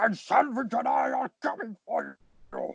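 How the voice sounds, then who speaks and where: A man uses a raspy, put-on character voice. The sound is dry and close with no echo, and his pace is moderate. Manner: larger than life.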